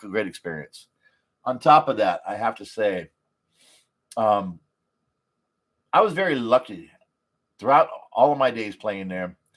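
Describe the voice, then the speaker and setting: A man with an animated tone at a medium pitch, on a very clean recording with a silent background. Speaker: poker player vlogger. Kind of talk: casual livestream recap. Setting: live stream. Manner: loud.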